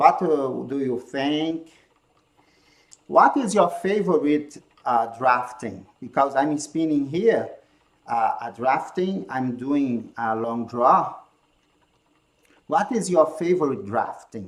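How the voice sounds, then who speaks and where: A man with a Brazilian accent speaks at a fairly high pitch with lively intonation. His pace is very slow, broken by long, frequent pauses. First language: Portuguese. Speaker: handspinning teacher. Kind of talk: live-stream tutorial. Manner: halting non-native phrasing.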